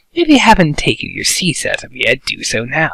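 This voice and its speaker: Using a put-on character voice, a man speaks at a moderate pace with big swings in loudness. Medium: read story. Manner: casual, smug.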